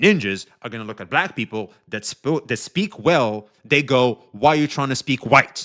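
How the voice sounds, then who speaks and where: On a very clean recording with a silent background, a man speaks at a moderate pace in a bright, sharp tone with lively intonation. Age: 40s. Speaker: streamer. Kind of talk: casual live stream commentary. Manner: casual, filler-heavy.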